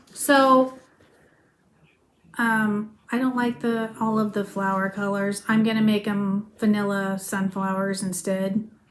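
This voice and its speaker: Very slowly, a woman speaks at a medium pitch in a monotone, flat intonation. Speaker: crafting video host. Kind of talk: casual chat. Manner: soft-spoken; mumbling.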